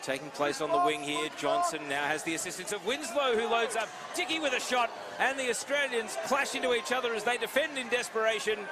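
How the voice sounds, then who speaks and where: Over noticeable background noise, a man with a high pitch raises and projects his voice, speaking at a fairly quick pace with very wide pitch swings. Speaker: play-by-play commentator. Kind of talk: live sports commentary. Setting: commentator's table at live event. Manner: lowered voice.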